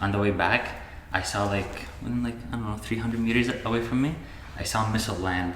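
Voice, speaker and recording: A man at a very fast pace with long, frequent pauses, amid audible room echo and noticeable background noise. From Syria. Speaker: engineering student. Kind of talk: casual chat. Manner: hesitant, many fillers.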